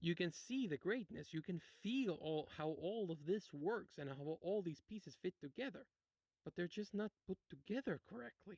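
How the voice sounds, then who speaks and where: With a high pitch and lively intonation, a man speaks at a moderate pace in a dry, close sound with no echo. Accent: non-native. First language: not English. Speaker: video essayist, game critic. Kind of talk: video essay commentary. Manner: casual, hesitant with fillers.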